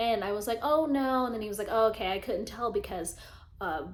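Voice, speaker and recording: A woman talks at a fairly quick pace. Room echo is audible. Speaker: lifestyle vlogger. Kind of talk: casual chat. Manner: animated.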